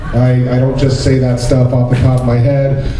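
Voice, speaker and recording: A man talks amid noticeable background noise and audible room echo. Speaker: voiceover actor guest. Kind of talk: convention panel talk. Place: hall.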